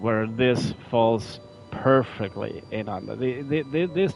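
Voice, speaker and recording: Medium-pitched man with a non-native accent and ordinary pitch variation, music in the background. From Norway. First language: not English. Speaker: gaming streamer. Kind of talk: live gameplay commentary. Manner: halting, frequent repetitions and fillers.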